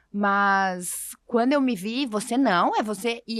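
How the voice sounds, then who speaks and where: A woman in a very clean recording with a silent background. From Brazil, interior of a southern state. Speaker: podcast co-host. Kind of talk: casual conversation.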